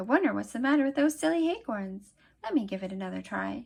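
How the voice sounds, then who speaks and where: Talking very fast in a put-on character voice, a woman uses a fairly high pitch against a quiet background. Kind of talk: children's story reading. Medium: read story. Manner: exuberant, friendly, uses playful made-up words.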